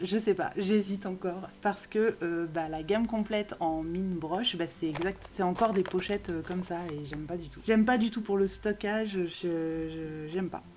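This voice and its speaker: A woman's animated tone at medium pitch, with ordinary pitch variation. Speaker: YouTuber reviewing art supplies. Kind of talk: product haul video. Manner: fast; animated, lots of hesitation fillers.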